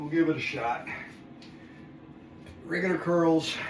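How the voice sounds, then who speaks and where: Against noticeable background noise and audible room echo, a man with a high pitch speaks at a fairly slow pace. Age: 60s. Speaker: fitness video host. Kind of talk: workout tutorial. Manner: counting reps aloud between exertion breaths.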